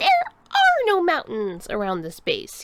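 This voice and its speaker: A woman puts on a character voice pitched extremely high. She talks at a fairly slow pace. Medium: read story. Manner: formal, stiff.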